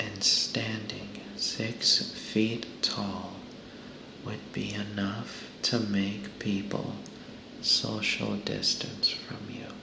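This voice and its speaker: Soft-spoken whispering at a very slow pace, with noticeable background noise. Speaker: ASMR content creator. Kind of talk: reading a humorous animal fact book aloud. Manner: whispered, soft.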